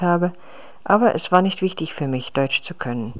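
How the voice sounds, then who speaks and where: A non-native accent at a fairly quick pace. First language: not German (speaking German). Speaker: language learner. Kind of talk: reading aloud.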